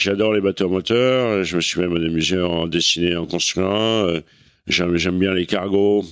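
A man talks at a very deep, low pitch and a fairly slow pace, his intonation fairly even and his loudness very even. The recording is very clean with a silent background. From Normandy, France (Cherbourg). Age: 60s. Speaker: veteran offshore sailor. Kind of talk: casual interview. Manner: halting, many repetitions.

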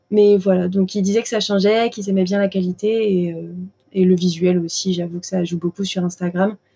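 A woman with a medium pitch speaks at a fairly quick pace in a monotone, flat delivery, her somewhat breathy voice having a dark, mellow tone. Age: 20s. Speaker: pastry chef and shop owner. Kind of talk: interview conversation. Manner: hesitant, many fillers.

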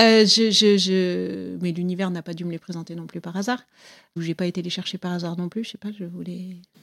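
A woman with fairly low pitch speaks in a monotone, flat way at a fairly quick pace, on a very clean recording with a silent background. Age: 40s. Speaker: interviewee telling her love story. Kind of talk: personal testimony interview. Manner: hesitant, many fillers.

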